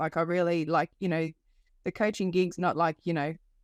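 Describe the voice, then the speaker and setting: A woman's fairly low voice in an Australian accent, dry and close with no echo, on a very clean recording with a silent background. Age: 50s. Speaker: life coach. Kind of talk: podcast interview. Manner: hesitant with many fillers.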